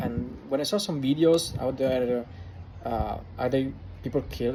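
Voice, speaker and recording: A man with an Italian accent, medium pitch, ordinary pitch variation and a fairly slow pace. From Italy. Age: 20s. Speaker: vlogger. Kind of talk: casual vlog monologue. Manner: halting, many fillers.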